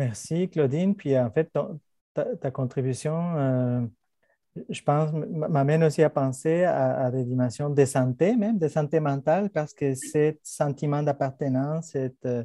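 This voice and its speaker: A man talks at a fairly slow pace in a dark, mellow tone. His pitch is fairly high with ordinary variation. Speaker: professor and panel moderator. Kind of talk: panel discussion moderation. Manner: hesitant, many repetitions and fillers.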